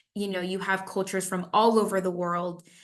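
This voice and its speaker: Here a woman speaks at a medium pitch. She has a Spanish accent. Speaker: parks and recreation professional. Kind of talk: interview. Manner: animated.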